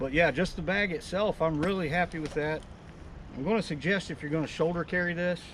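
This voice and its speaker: Loud and high-pitched, a man talks at a fairly quick pace. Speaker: outdoors gear reviewer. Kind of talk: casual product review. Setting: outdoors by a river.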